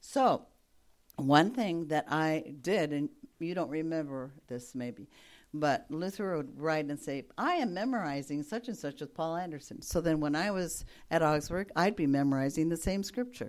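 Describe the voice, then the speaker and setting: In a very clean recording with a silent background, a woman with a very deep, low pitch speaks at a moderate pace with lively intonation. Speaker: retired missionary. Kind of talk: testimony.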